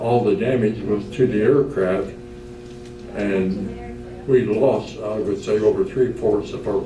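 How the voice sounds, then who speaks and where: A man speaks at a very slow pace. There is noticeable background noise. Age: 80s+. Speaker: retired Navy commander, World War Two veteran. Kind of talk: guest speaker talk about war memories. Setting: nursing home event.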